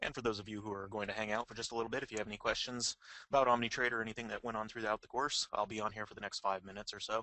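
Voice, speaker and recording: A man at a very fast pace, with a fairly low pitch and monotone, flat intonation. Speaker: webinar moderator. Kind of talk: online webinar announcements. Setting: online webinar.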